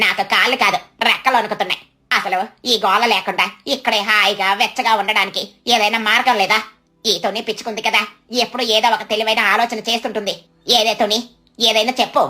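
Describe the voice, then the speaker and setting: A cartoonish character voice, female-sounding and fairly high-pitched, at a moderate pace. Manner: complaining, dramatic.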